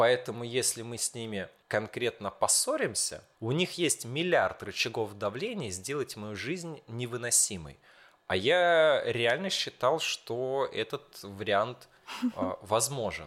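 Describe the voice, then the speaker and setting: On a very clean recording with a silent background, a man at medium pitch speaks very slowly with lively intonation. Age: 20s. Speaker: school teacher. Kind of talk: casual chat.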